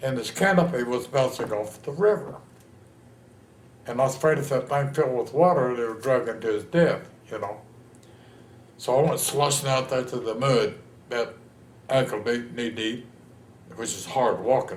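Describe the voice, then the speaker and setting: In a room with audible echo, a man with a Texan accent speaks at a moderate pace and medium pitch, with ordinary pitch variation and long, frequent pauses. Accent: Texan American. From Texas, San Antonio. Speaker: war veteran. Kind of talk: oral history interview. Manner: animated storytelling.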